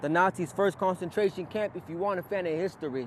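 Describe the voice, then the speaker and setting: The voice belongs to a man. Pitch rises and falls an ordinary amount. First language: Spanish. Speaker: poet. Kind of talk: spoken word poetry performance. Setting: outdoors in a park.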